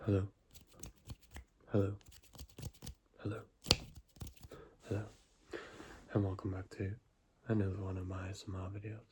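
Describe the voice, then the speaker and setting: Soft-spoken and somewhat breathy, a man talks in a dark, mellow tone at a fairly low pitch, his intonation monotone and flat. His pace is fairly quick, broken by long, frequent pauses. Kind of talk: ASMR book reading to help viewers sleep.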